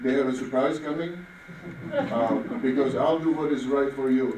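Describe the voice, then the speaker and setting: A man's medium-pitched voice comes through audible room echo with noticeable noise behind it. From Czechoslovakia. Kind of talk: campaign closing statement. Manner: halting.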